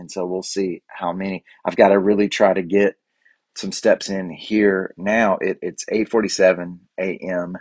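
The sound is dry and close, without echo. A man speaks with an American accent at a fairly low pitch. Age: 40s. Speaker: podcast host, high school teacher. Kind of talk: casual solo monologue. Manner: halting, many fillers.

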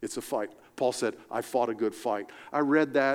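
A man with an American accent has an unremarkable speaking voice, talking at a moderate pace with ordinary pitch variation. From US South, Appalachia. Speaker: pastor. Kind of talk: sermon.

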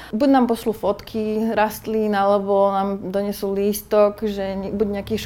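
A woman's medium-pitched voice comes through in a monotone, flat intonation against noticeable background noise. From Slovakia, High Tatras region. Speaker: plant shop owner. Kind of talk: interview.

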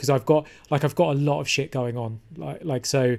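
A man with a London accent, fairly even intonation and a fairly quick pace, on a very clean recording with a silent background. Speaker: podcast host and former tattoo artist. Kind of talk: casual interview.

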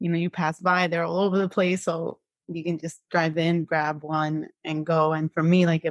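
A woman with an American accent, a fairly low pitch and a monotone, flat intonation at a moderate pace. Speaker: hypnotherapy client. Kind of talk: casual interview.

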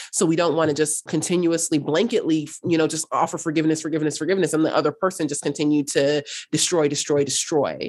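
Over a quiet background, a woman with an American accent speaks in a very deep, low pitch with monotone, flat intonation. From US West Coast, South Los Angeles. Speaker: ministry leader. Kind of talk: testimony.

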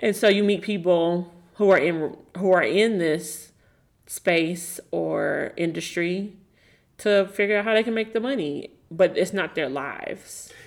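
In a normal speaking voice with an American accent, a woman talks at a fairly slow pace with ordinary pitch variation. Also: medium pitch for a woman. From Oklahoma, US. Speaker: podcast guest. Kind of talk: casual interview chat.

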